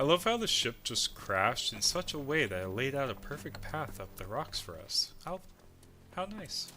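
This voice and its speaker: With music in the background, a man talks at a moderate pace, his pitch swinging very widely. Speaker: video game streamer. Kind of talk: casual gameplay commentary.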